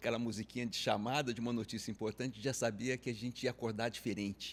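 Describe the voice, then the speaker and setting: Here a man speaks in an unremarkable speaking voice with fairly even intonation. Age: 60s. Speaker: insurance advisory business pioneer. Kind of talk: interview conversation.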